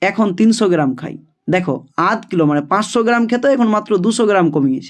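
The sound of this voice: Lively intonation marks an unforced reading voice heard against a quiet background.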